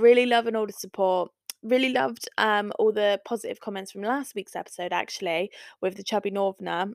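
This is an unremarkable speaking voice. It moves at a fairly quick pace with ordinary pitch variation. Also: woman, medium pitch for a woman. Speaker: podcast host. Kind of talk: casual chat.

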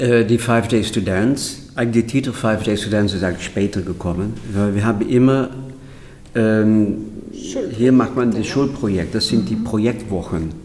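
Speaking with a Dutch accent amid audible room echo, a man keeps a medium pitch, fairly even intonation and a moderate pace. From Netherlands. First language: Dutch (speaking German). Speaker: choreographer. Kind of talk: interview.

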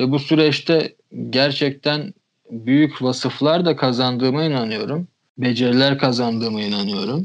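A man with an unremarkable speaking voice talks at a moderate pace. His pitch is medium, with ordinary pitch variation. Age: 20s. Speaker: magazine founder. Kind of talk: casual chat.

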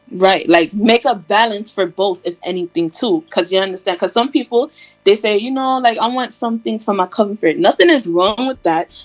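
A woman's normal speaking voice, fairly high-pitched, with lively intonation, hardly any pauses, a moderate pace and a dry, close sound with no echo. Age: 20s. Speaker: podcast co-host. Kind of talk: casual chat. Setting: remote recording, separate locations.

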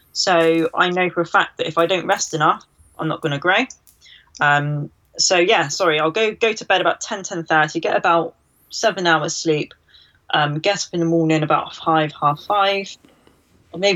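A plain, everyday voice from a woman, fairly low in pitch, at a moderate pace with ordinary pitch variation. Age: 20s. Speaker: bodybuilder and nutrition coach. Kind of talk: interview.

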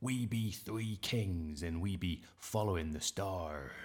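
Using a put-on character voice, a man talks fairly slowly at a very deep, low pitch.

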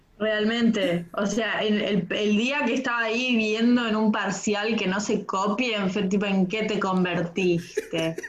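At a fairly slow pace with hardly any pauses, a woman speaks at a fairly high pitch and fairly even intonation, with noticeable background noise and audible room echo. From Argentina, Bariloche (Patagonia). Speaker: textile designer and comedian. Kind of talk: casual interview chat.

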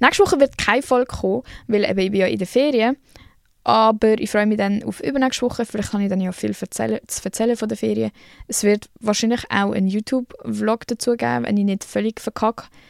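A woman with a fairly high pitch talks at a fairly quick pace with ordinary pitch variation, recorded with a dry, close sound and no echo. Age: 20s. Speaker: podcast host. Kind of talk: casual monologue. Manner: animated.

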